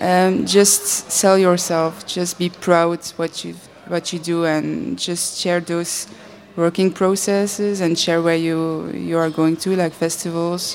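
Over noticeable background noise, a woman speaks at a very slow pace with a fairly low pitch and monotone, flat intonation. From Belgium. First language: Dutch. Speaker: animator. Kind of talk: panel discussion.

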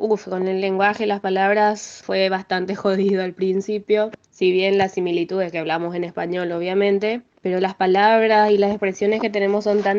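Against noticeable background noise, a woman talks at a moderate pace and medium pitch, with monotone, flat intonation and hardly any pauses. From Paraguay (Asunción). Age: 20s. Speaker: music student and piano teacher. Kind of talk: interview testimony.

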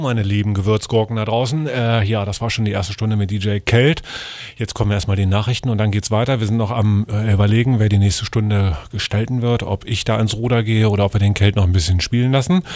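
A man's fairly low-pitched voice at a very fast pace, fairly even in intonation, over noticeable background noise. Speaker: radio DJ and show host. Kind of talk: live radio hosting, casual chat between DJ mixes. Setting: radio studio.

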